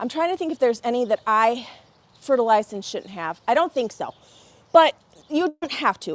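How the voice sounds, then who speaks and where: In a very clean recording with a silent background and a dry, close sound with no echo, a woman speaks at a fairly quick pace and high pitch, animated in tone, with very wide pitch swings, big swings in loudness, and long, frequent pauses. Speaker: garden show host. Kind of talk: live stream product show. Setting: outdoors under a pavilion in the rain. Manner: fast.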